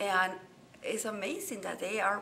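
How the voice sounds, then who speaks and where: Over noticeable background noise, a woman with a Spanish accent talks at a medium pitch. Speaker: journalist and author. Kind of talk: interview. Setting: boxing convention.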